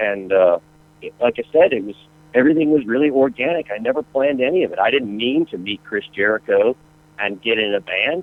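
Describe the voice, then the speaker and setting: Using an ordinary speaking voice, a medium-pitched man with an American accent talks at a fairly quick pace with lively intonation. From US South, North Carolina and Atlanta. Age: 40s. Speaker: rock guitarist. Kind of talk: interview. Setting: radio show.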